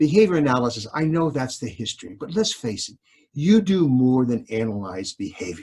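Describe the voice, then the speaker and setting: A man speaks at a moderate pace with very wide pitch swings. His voice is somewhat breathy. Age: 70s. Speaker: behavioral scientist, university professor. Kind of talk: interview conversation.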